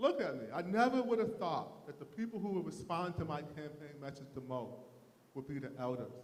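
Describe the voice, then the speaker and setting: With audible room echo, a man talks at a fairly quick pace in a fairly high pitch with very wide pitch swings. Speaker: mayoral candidate. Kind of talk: candidate forum speech.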